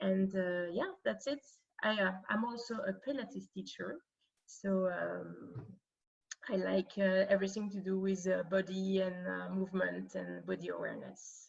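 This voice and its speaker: This woman speaks at a moderate pace with a French accent. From France. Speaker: career coach. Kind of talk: online workshop presentation. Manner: halting, many fillers.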